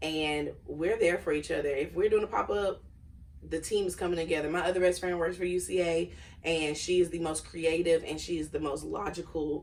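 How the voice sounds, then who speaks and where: The speaker talks at a fairly quick pace with vocal fry. The intonation stays fairly even. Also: woman, fairly low pitch for a woman. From Arkansas, Conway. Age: 30s. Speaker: beauty salon owner. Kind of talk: podcast interview.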